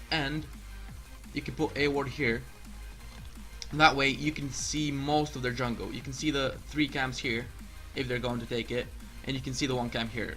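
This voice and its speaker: A man with a non-native accent talks at a moderate pace, his pitch medium and his intonation flat and monotone. He leaves long, frequent pauses while music plays in the background. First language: not English. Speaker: gamer. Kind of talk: video game tutorial narration.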